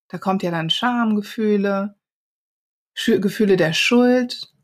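Speaking at a very slow pace with a slight Rhineland accent, a woman sounds somewhat breathy on a very clean recording with a silent background. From Rhineland, Germany. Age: 40s. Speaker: diversity and inclusion consultant. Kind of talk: interview conversation.

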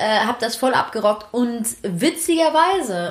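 Lively intonation runs through a voice that is somewhat breathy. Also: woman. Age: 20s. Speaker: podcast co-host. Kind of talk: casual chat.

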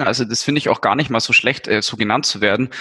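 The man's voice sits at a fairly high pitch. It has a bright, sharp tone. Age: 20s. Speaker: affiliate manager. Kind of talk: casual interview.

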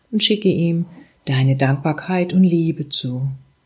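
Somewhat breathy and calm, soothing in tone, a woman speaks at a fairly slow pace in a very deep, low pitch. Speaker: meditation guide. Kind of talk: guided meditation. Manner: slow, calm, soothing, with long pauses; gentle, warm, intimate, addressing listener as du.

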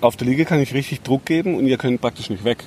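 This man's pitch rises and falls in an ordinary way. Noticeable background noise runs behind him. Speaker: health podcast host and therapist. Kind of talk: casual interview chat.

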